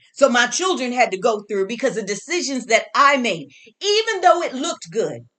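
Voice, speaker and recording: A loud woman's voice, high-pitched, bright and sharp, with very wide pitch swings at a moderate pace. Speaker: herbalist and spiritual teacher. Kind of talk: motivational talk. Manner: animated.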